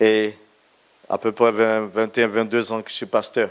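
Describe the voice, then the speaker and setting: Speaking at a fairly slow pace, a man with a medium pitch comes through on a very clean recording with a silent background. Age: 60s. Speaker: pastor. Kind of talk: testimony.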